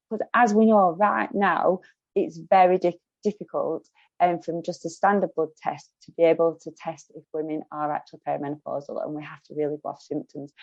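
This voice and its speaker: A woman with a strong Lancashire accent, fairly low pitch, ordinary pitch variation, big swings in loudness and a fairly quick pace, in a dry, close sound with no echo. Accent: broad Lancashire. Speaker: podcast host. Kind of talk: interview.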